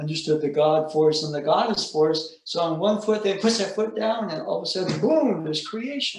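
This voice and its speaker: A man's high-pitched voice in a room with audible echo. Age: 70s. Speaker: aikido teacher. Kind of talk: casual chat.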